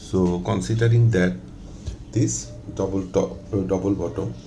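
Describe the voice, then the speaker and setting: A man's voice with very wide pitch swings, a fairly slow pace, and audible room echo. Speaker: forex trading analyst. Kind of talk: tutorial. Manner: hesitant with many fillers.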